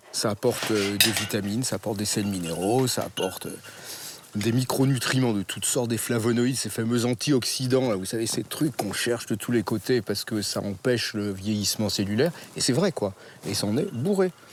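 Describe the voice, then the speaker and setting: A man's medium-pitched voice at a fairly quick pace, ordinary pitch variation, and noticeable background noise. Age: 60s. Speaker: botanist and wild plant forager. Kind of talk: casual explanation during a foraging walk. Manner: animated.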